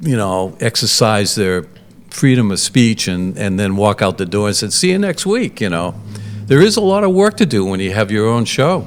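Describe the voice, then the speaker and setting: With an American accent, a voice moves at a moderate pace with lively intonation over noticeable background noise. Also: man, fairly low pitch for a man. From Massachusetts North Shore. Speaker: community TV studio manager. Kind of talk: casual interview.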